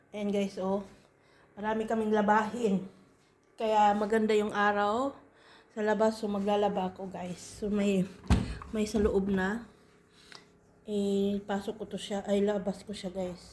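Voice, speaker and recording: A woman's medium-pitched voice, fairly slow and monotone with flat intonation, broken by long, frequent pauses. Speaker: vlogger. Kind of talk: casual vlog. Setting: at home. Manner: halting, many fillers.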